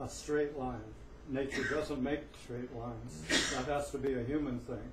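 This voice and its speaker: Against noticeable background noise and audible room echo, a man talks at a moderate pace in a medium pitch with monotone, flat intonation. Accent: American. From Northern California (Humboldt County). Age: 70s. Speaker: open mic performer, storyteller. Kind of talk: open mic storytelling. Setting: cafe stage with audience.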